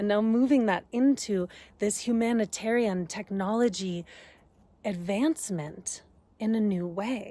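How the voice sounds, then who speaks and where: On a very clean recording with a silent background, a woman speaks at a fairly slow pace. She has a normal speaking voice, fairly high in pitch with ordinary pitch variation. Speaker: astrologer and energy healer. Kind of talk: casual talk to camera. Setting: outdoors. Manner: conversational, spiritual.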